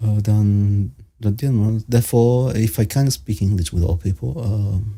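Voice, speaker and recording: A man with a Spanish accent speaks with a fairly low pitch and ordinary pitch variation. His tone is dark and mellow, and somewhat breathy. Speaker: panel participant. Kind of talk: casual chat. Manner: halting.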